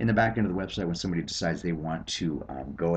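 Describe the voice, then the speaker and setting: A man's very deep, low voice with vocal fry, very fast pace, and ordinary pitch variation. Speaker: sales team leader. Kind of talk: screencast sales presentation. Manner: hesitant, many fillers.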